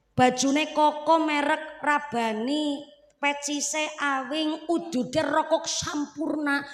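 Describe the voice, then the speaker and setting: Audible room echo surrounds a woman's high-pitched voice as she speaks in an animated tone. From Central Java. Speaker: female Islamic preacher. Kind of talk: religious sermon. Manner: humorous, animated.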